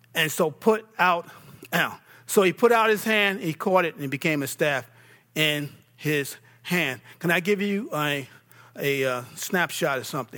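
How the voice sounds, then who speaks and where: A man with an American accent, a high pitch and a bright, sharp tone, lively intonation and long, frequent pauses. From New York. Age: 50s. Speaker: pastor. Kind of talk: sermon. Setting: church.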